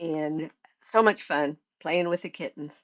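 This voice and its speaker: A woman's voice, very deep and low in pitch. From Oklahoma, US (born in Montana). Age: 70s. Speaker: podcaster recounting life story. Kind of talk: personal storytelling monologue. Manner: halting, with frequent repetitions and fillers.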